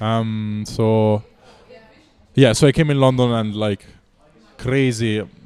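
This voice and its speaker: With an Italian accent, a man speaks very slowly at a medium pitch, his intonation fairly even. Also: long, frequent pauses. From Italy. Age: 20s. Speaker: street musician. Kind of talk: casual chat.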